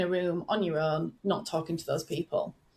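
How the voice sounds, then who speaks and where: A woman with a northern English accent, somewhat breathy, at a moderate pace with ordinary pitch variation. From northern England. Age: 40s. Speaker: business growth coach. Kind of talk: podcast interview. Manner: relaxed, conversational.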